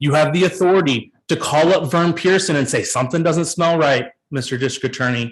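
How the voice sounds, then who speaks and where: Ordinary pitch variation and a moderate pace in a somewhat breathy voice. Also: man. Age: 30s. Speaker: public commenter at county meeting. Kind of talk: public comment speech. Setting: public meeting. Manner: impassioned.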